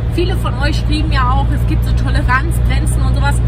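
Loud background noise over a dry sound with no echo. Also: woman. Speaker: travel vlogger. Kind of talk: casual vlog chat.

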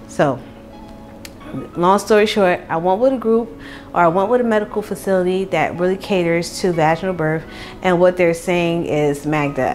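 Faint music plays in the background as a woman talks. Her pitch is fairly low and her pace moderate. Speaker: pregnant vlogger. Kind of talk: casual vlog chat. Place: kitchen. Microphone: lapel.

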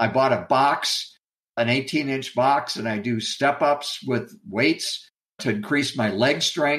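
At a very slow pace, a man speaks with a medium pitch. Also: ordinary pitch variation. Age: 70s. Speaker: retiree. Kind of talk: interview. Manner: casual, hesitant with repeated words.

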